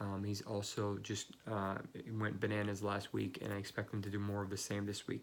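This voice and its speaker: A man speaks quietly in a fairly low pitch. His intonation is monotone and flat. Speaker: fantasy football analyst. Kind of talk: casual video commentary. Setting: office. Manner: hesitant, many fillers.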